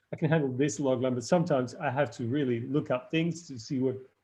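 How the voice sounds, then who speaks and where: With a non-native accent, a man talks at a fairly high pitch with ordinary pitch variation. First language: not English. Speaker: screenwriting lecturer. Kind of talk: live online workshop feedback. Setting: live stream. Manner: halting, many fillers and restarts.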